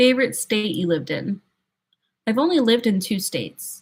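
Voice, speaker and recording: With an American accent, a woman speaks in a relaxed, calm, somewhat breathy voice at medium pitch and moderate pace, with lively intonation, in a very clean recording over a silent background. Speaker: streamer, sign language song cover creator. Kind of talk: casual chat.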